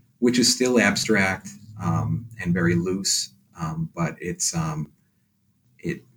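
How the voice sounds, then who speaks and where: Very slow and full of long, frequent pauses, a man speaks in an American accent. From Boston, Massachusetts (West Roxbury). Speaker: painter. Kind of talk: interview. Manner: halting, many fillers.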